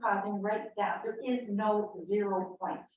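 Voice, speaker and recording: Her pace is fairly slow, with ordinary pitch variation. The woman's pitch sits fairly high. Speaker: panel speaker on health effects of radiation. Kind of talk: public talk. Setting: meeting house with audience. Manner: quiet.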